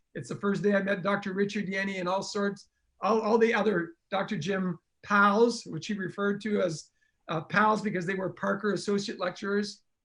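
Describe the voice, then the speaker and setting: High-pitched for a man, this voice keeps a fairly even intonation. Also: moderate pace. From northern Canada, French Canadian. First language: French. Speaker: chiropractor and speaker. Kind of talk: storytelling interview. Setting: livestream.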